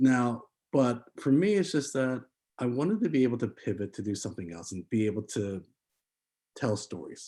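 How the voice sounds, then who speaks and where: A man with a medium pitch and dark, mellow tone speaks at a moderate pace with lively intonation and long, frequent pauses, captured on a very clean recording with a silent background. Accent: American. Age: 40s. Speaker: filmmaker. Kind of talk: interview. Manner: halting, many fillers.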